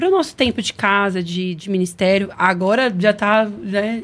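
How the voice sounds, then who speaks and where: A woman's voice at a medium pitch. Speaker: podcast host, church member. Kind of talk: casual chat. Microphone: audio problems on stream.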